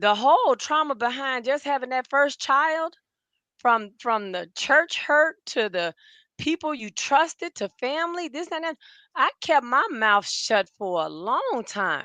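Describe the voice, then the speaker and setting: In a dry, close recording with no echo and a quiet background, a woman projects a raised, bright, sharp voice that is high in pitch, swings very widely and moves fairly slowly. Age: 60s. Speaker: podcast co-host. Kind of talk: casual chat, personal testimony. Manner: emotional.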